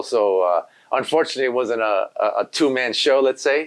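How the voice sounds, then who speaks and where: This man talks at a fairly quick pace. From East Los Angeles. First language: Spanish. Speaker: graffiti artist and muralist. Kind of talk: interview. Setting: studio. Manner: halting, many fillers and repeats.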